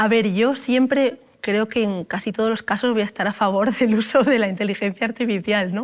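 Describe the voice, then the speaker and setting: Heard in a very clean recording with a silent background, a woman speaks at a moderate pace with a fairly high pitch and fairly even intonation. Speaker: computer science researcher, AI expert speaker. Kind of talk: talk with audience Q&A.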